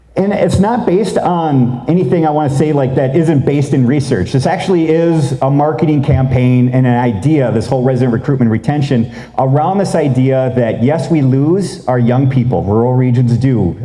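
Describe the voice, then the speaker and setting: Speech flows with hardly any pauses at a very even loudness and ordinary pitch variation. Noticeable background noise and audible room echo fill the recording. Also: man, medium pitch for a man. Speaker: rural policy researcher, presenter. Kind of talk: conference presentation. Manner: fast; casual, conversational.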